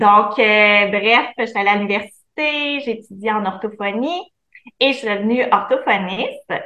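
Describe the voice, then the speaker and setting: A woman talks fairly slowly, her fairly high pitch varying in an ordinary way. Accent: Quebec. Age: 30s. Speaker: entrepreneur, former speech therapist. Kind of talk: interview.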